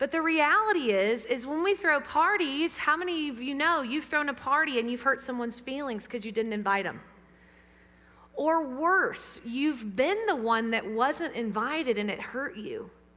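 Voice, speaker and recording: With audible room echo, a woman with a Southern US accent projects a raised, high-pitched, animated voice full of very wide pitch swings. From US South. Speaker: pastor. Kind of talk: sermon. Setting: church; PA system. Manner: fast.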